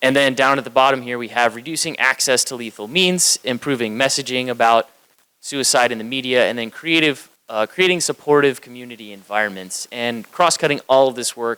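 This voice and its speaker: A man speaks at a medium pitch and a fairly quick pace, his bright, sharp tone swinging widely in loudness while his pitch varies in an ordinary way. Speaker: county communications manager presenting. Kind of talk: conference presentation.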